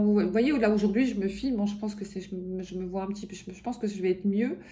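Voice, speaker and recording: Noticeable background noise sits under the clip. A woman talks with ordinary pitch variation. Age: 50s. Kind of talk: casual talk to camera.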